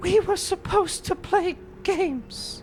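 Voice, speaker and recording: A put-on character voice whispers in a breathy way at a fairly slow pace. Clear background noise sits behind it. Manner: whispering, eerie.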